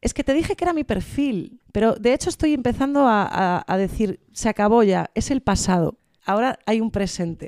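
Recorded very cleanly against a silent background with a dry, close sound and no echo, a woman speaks at a fairly high pitch with lively intonation and hardly any pauses. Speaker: comedian. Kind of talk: casual chat. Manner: fast.

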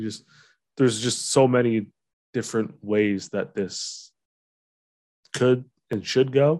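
A man speaks at a medium pitch with fairly even intonation, leaving long, frequent pauses. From Ontario, London. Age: 30s. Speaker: podcast host. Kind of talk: casual chat.

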